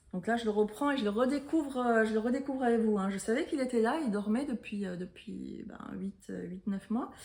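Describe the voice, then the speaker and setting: A woman with a fairly high pitch talks at a moderate pace, her pitch shifting in an ordinary way. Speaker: knitting podcaster. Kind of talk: casual chat. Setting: at home. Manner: hesitant, many fillers.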